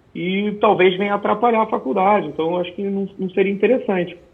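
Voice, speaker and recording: A man rattles along at a very fast pace in a high pitch. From Rio de Janeiro, Brazil. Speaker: military police officer and special operations instructor. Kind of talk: interview. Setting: video call. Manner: halting, with repetitions.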